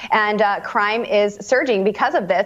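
A woman speaks with an upbeat, warm tone. Noticeable background noise is present. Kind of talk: radio host patter, teasing the next guest before a break. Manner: upbeat, chatty and warm, laughing mid-sentence while promoting the show.

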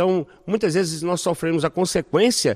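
Here a man talks at a fairly quick pace. His sound is dry and close with no echo, on a very clean recording with a silent background. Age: 50s. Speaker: pastor and clown evangelist. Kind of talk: interview. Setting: on location at a festival.

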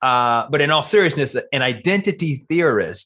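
A man's lively intonation carries his fairly slow speech. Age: 50s. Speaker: marketing professor. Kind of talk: casual interview. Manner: animated.

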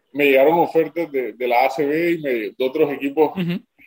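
The speech comes at a moderate pace. Pitch variation is ordinary. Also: man. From Colombia. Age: 20s. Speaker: professional basketball player. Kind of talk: interview. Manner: halting, many repetitions and fillers.

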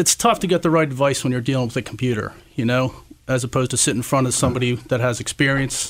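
A man at a medium pitch talks at a very fast pace with ordinary pitch variation. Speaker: insurance agent. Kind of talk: radio interview, business talk.

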